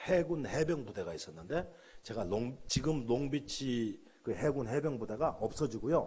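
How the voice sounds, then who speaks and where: With audible room echo, a man speaks at a moderate pace in a fairly high, animated voice with vocal fry and very wide pitch swings. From South Korea. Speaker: pastor. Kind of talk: sermon.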